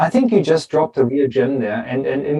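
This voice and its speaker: A man with a strong German accent has a fairly high yet dark, mellow voice. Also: dry, close sound with no echo. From Germany. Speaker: podcast host, engineer. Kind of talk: podcast interview.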